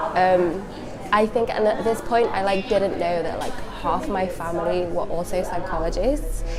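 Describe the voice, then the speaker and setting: At a moderate pace and with ordinary pitch variation, the speech comes through noticeable background noise and audible room echo. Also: woman. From northern England, Sheffield. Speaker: psychology graduate. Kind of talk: casual interview. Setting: cafe. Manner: hesitant, many fillers.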